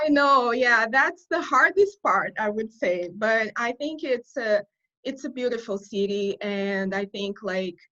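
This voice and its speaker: A woman with a Portuguese accent speaks at a fairly slow pace, her pitch fairly high and her intonation lively. Her tone is bright and sharp, set against a quiet background. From Brazil. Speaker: corporate communications writer. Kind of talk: interview. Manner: halting.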